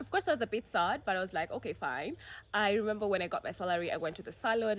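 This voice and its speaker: The pitch of this woman's voice varies in an ordinary way as she talks. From Kenya, mostly Mombasa. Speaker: YouTuber. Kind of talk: casual Q&A vlog. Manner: animated.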